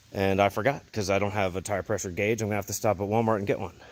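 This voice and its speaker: With an American accent, a man speaks very fast over noticeable background noise. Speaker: motorcycle vlogger. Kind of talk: vlog monologue. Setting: outdoors at night.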